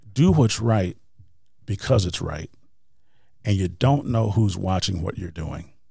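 In a very clean recording with a silent background, a man with an American accent speaks at a fairly low pitch. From Wisconsin. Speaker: motivational speaker and author. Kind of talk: interview.

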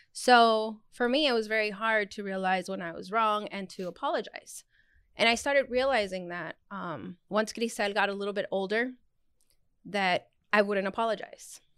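Recorded very cleanly against a silent background, a woman with an ordinary speaking voice talks at a moderate pace in a fairly high pitch, with ordinary pitch variation and big swings in loudness. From Arizona, US Southwest (born in Mexico). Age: 30s. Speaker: podcast guest, friend of the hosts. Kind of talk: casual chat.

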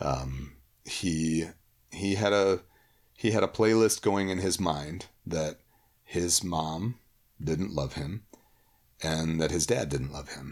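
This man's voice sits very deep and low, with ordinary pitch variation and an American accent. He speaks at a very slow pace, leaving long, frequent pauses. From US Midwest, Holland, Michigan (Cuban family). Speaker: youth minister. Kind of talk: casual chat.

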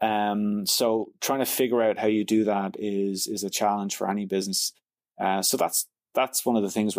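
A man in a Dublin accent, fairly low in pitch, monotone and flat, at a moderate pace on a very clean recording with a silent background. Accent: Dublin Irish. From Ireland, Dublin. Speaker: tech company founder and CEO. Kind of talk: interview.

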